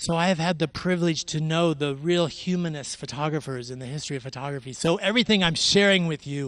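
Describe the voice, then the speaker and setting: A man with an American accent speaks at a fairly quick pace and fairly high pitch, with ordinary pitch variation. He has an unremarkable speaking voice against a quiet background. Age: 60s. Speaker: photographer. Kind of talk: artist talk.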